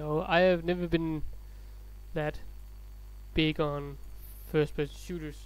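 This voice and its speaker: Speaking at a fairly slow pace with long, frequent pauses, a man talks with a non-native accent. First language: not English. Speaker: let's play gamer. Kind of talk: gameplay commentary. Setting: home recording, low volume.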